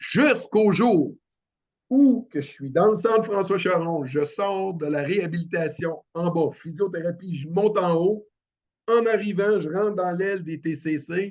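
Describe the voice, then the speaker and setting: A man speaks at a fairly slow pace in a high pitch, with ordinary pitch variation. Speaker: paralympic cyclist. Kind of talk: podcast interview. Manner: halting.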